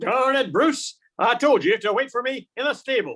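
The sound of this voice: A man talks in a put-on character voice at an extremely high pitch, with a fairly bright tone. His intonation is lively and his pace moderate.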